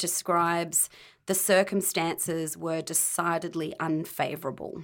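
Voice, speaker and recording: The recording is very clean and the background is silent. A woman talks at a moderate pace. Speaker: podcast co-host. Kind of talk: casual chat.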